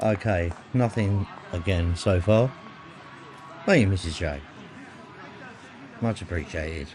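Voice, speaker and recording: A man with a southern English accent, very deep and low in pitch, at a fairly slow pace with long, frequent pauses, ordinary pitch variation and noticeable background noise. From England, north of London. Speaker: live stream host. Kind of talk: live stream commentary.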